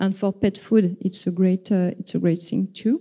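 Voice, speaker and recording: The recording is very clean, with a silent background. A woman speaks at a medium pitch in a dark, mellow, somewhat breathy tone with monotone, flat intonation. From France. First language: French. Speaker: vegan activist. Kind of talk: conference talk. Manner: halting, many fillers.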